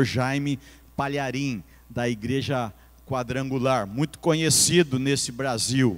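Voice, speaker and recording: This is a man with an unremarkable speaking voice. His pitch sits at a medium level. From Bauru, São Paulo state, Brazil. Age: 60s. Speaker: pastor. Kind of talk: sermon.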